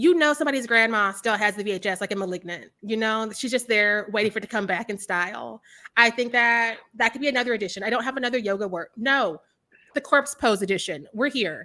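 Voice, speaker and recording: A loud, animated woman at a fairly high pitch, bright and sharp in tone, talking very fast with ordinary pitch variation. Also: very clean recording, silent background. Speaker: horror film reviewer, interviewer. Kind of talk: casual interview.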